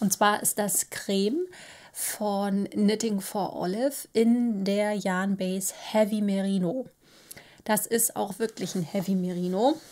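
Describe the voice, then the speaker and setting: A woman's very slow speech with fairly even intonation. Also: medium pitch for a woman. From northern Germany, Baltic coast. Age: 30s. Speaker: knitting podcaster; knitting podcast host. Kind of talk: casual monologue. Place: home room.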